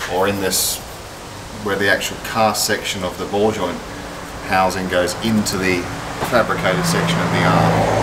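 Loud background noise surrounds a man whose pitch varies in an ordinary way. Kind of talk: explaining repair to customer. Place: workshop. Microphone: camera far.

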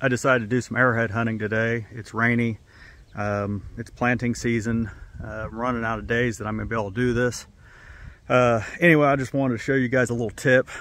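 A man talks at a fairly quick pace with fairly even intonation. The sound is dry, with no echo. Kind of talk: casual vlog chat. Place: open country.

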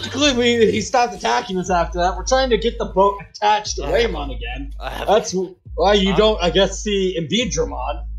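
A gruff, put-on character voice comes at a moderate pace through clear background noise. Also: man. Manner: gruff, hungover and irritable.

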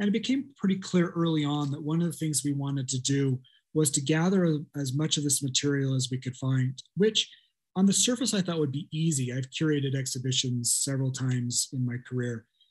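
Against a quiet background, a man speaks at a fairly quick pace. His voice is somewhat breathy, with ordinary pitch variation. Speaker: art scholar; panelist. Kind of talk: academic presentation. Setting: video call. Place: home room. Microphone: webcam.

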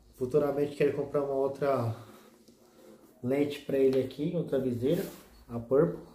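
Amid light background noise and audible room echo, a man with a fairly high pitch and a dark, mellow tone speaks in a monotone, flat intonation, somewhat breathy, with long, frequent pauses. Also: moderate pace. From Brazil. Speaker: motovlog youtuber; motovlogger. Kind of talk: casual product tutorial vlog. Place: home room.

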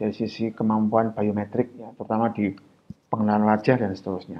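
A man speaks at a medium pitch. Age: 40s. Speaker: guest lecturer in IT. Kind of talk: public lecture. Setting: video call. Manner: halting, many fillers.

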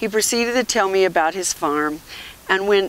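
A natural voice, reading aloud

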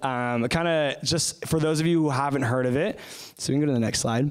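A man's voice shows ordinary pitch variation, and the background is quiet. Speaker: guest. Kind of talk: opening prayer, then sermon-style talk. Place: church. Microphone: handheld.

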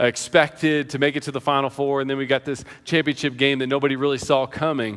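A bright, sharp tone at a fairly quick pace over a quiet background. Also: man. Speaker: pastor. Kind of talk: sermon. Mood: prayerful then storytelling. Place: church. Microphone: headset.

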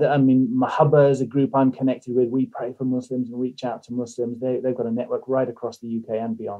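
A man with an English accent, medium pitch and monotone, flat intonation. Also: hardly any pauses. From England, moved around (army family). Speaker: missionary and podcast host. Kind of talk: interview guest, personal testimony.

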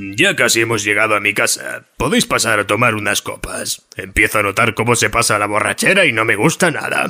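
A man speaks at a fairly quick pace in a cartoonish character voice, his pitch medium, with music playing in the background. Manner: rambling, deadpan.

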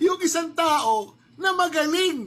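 This man speaks at a very slow pace with an extremely high pitch and lively intonation. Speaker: commentator. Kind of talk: angry political rant. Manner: sarcastic, scolding, rhetorical questions, defiant.

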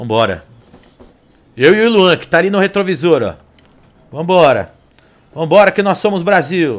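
A man with an animated tone, lively intonation and high pitch, moving at a moderate pace with long, frequent pauses. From Brazil. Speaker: sim racing streamer. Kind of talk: live gameplay commentary. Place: home room.

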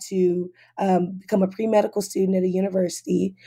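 Speaking at a moderate pace with an American accent, a woman has a medium pitch and a dark, mellow tone on a very clean recording with a silent background. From Compton, Los Angeles, California. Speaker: medical student and activist. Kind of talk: interview.

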